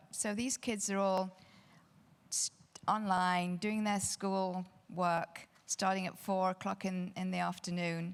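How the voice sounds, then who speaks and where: In a British accent, a woman speaks at a medium pitch in a flat monotone on a very clean recording with a silent background. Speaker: real estate advisor panelist. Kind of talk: panel discussion. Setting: stage with audience.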